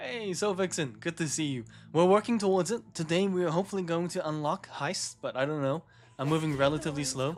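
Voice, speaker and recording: Over music in the background, a man with a high voice speaks at a very fast pace with ordinary pitch variation. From New Zealand. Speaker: gaming streamer. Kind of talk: casual live-stream chat.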